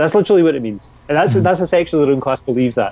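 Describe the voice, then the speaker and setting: Here a man speaks in a Scottish accent. His intonation is lively. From Scotland. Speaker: labour organizer. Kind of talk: casual chat.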